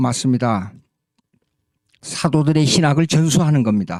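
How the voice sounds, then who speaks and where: A man speaks with lively intonation. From South Korea. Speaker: pastor and theology lecturer. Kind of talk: lecture. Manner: halting, with fillers and self-corrections.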